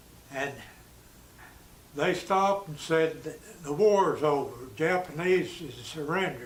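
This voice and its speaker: Speaking at a fairly slow pace with long, frequent pauses, a man with an American accent has a fairly high pitch, ordinary pitch variation, and big swings in loudness, all with audible room echo. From US South. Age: 90s. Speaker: war veteran. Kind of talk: oral history interview. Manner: halting.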